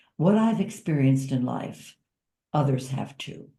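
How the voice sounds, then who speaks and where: Somewhat breathy and dark, mellow in tone, a woman's voice moves at a moderate pace. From US, Italian-American family. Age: 70s. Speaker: author and caregiver. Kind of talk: interview.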